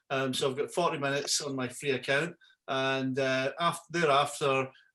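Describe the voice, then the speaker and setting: A man with a Scottish accent speaks over a quiet background. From Scotland. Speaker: yacht broker and website host; website host. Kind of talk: webinar tutorial. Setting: video call. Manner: halting, many fillers and repeats. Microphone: video call.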